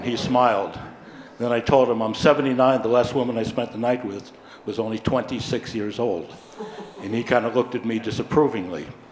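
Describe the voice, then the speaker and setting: Over noticeable background noise, a man at a medium pitch talks at a fairly quick pace with fairly even intonation. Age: 70s. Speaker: audience member. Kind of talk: audience question with joke.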